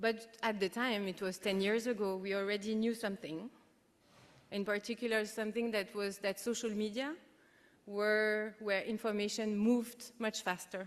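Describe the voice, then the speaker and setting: A woman with a French accent, fairly high-pitched, monotone and flat in intonation, at a moderate pace. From France. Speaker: keynote speaker, international organisation unit head. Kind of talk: conference keynote speech.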